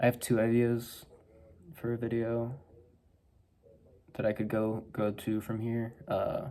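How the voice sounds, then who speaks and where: A man's soft-spoken, very slow mumbling in a dark, mellow tone. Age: 20s. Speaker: vlogger. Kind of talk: casual monologue. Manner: mumbling, soft-spoken.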